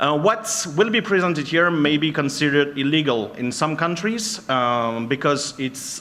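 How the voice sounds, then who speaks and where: Spoken at a moderate pace in a French accent, the lively intonation comes through noticeable background noise and audible room echo. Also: man. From France. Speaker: penetration tester and trainer. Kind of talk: conference talk. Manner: halting.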